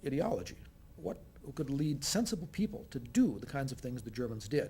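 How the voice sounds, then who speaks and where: A man with an American accent talks at a fairly quick pace in a fairly high pitch, his dark, mellow tone carrying vocal fry. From United States. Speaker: communication professor. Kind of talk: talk show interview.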